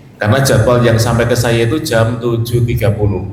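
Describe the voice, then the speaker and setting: Noticeable background noise and audible room echo accompany speech with fairly even intonation. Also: man. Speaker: trainer / speaker. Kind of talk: workshop talk. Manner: joking, casual.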